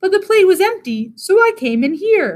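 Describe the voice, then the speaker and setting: A woman's squeaky, warm-toned, put-on character voice at an extremely high pitch, with very wide pitch swings and a moderate pace. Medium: read story. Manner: warm, good-humored.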